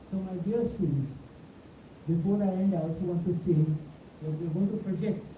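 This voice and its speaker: Amid noticeable background noise and audible room echo, a man talks at a moderate pace in a high pitch with ordinary variation. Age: 70s. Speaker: professor. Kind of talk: lecture. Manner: animated.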